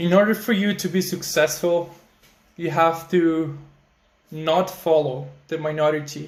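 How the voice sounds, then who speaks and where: A high-pitched male voice at a moderate pace, fairly even in intonation, with long, frequent pauses. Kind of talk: casual talk to camera. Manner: frequent filler words.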